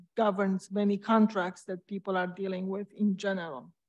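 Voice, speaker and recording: In a quiet background, a woman with a Romanian accent speaks at a medium pitch with monotone, flat intonation. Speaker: school board candidate, parent; candidate. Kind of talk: candidate forum speech. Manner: halting. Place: stage.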